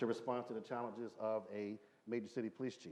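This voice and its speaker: This man has an American accent and a medium pitch. He talks at a very fast pace with fairly even intonation. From Philadelphia, US. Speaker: former police chief. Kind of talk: panel discussion.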